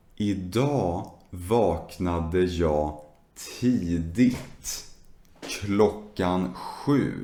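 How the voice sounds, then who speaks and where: Very deep and low, a man's voice moves at a very slow pace in a dark, mellow tone, with audible room echo. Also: ordinary pitch variation. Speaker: Swedish language teacher. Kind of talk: slow language lesson talk.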